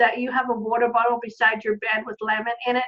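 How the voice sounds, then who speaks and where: This woman talks at a moderate pace in a high voice with a slight Australian accent. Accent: Australian, faint, shows on some words. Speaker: online business community host, business coach. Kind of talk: casual online video chat. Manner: enthusiastic, upbeat.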